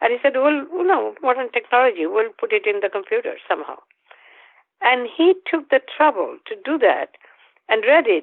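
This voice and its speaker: With a Bengali accent, a woman speaks at a high pitch. Her voice makes very wide pitch swings at a moderate pace. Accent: Bengali Indian English. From northeast India. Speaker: Jungian analyst and author. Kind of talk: interview. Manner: halting.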